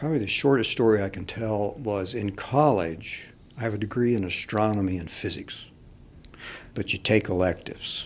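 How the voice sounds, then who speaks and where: A man's fairly low, plain, everyday voice at a moderate pace with ordinary pitch variation, on a very clean recording with a silent background. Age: 60s. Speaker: painter. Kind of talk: casual interview.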